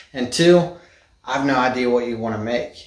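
A man speaks at a moderate pace with ordinary pitch variation. The quiet room carries audible echo. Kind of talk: casual vlog chat. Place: garage. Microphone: phone near.

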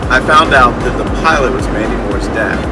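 A man's voice with music in the background. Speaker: pastor. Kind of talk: casual storytelling. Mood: humorous, animated storytelling. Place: car. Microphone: phone near.

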